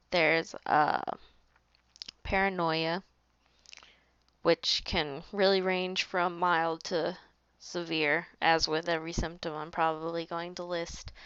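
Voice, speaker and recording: A woman talks at a very slow pace, leaving long, frequent pauses. Her intonation stays monotone and flat. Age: 20s. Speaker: vlogger sharing mental illness experience. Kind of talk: personal vlog monologue. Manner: halting, many fillers.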